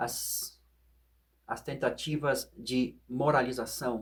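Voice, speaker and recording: A very slow man at a medium pitch, with vocal fry and fairly even intonation. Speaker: philosophy and meditation video host. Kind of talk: reflective monologue.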